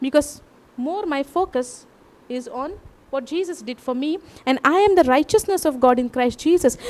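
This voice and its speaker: In a Goan accent, a woman talks at a moderate pace in a high pitch with lively intonation. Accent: Goan Indian English. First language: Konkani. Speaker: preacher. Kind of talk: sermon.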